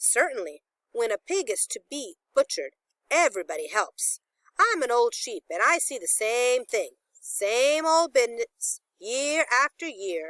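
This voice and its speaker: The pace is moderate. Someone is doing a put-on character voice. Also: woman, high pitch for a woman. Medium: read story. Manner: blunt, tart.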